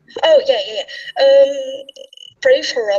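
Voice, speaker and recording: A woman speaks with a Dutch accent. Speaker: panel guest. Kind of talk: casual chat.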